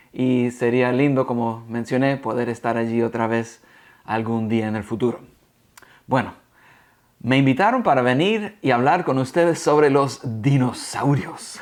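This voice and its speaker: A man with a medium pitch talks at a fairly slow pace, leaving long, frequent pauses, and his pitch varies in an ordinary way. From United States. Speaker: guest speaker teaching about dinosaurs. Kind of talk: educational talk for secondary students. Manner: animated, playful.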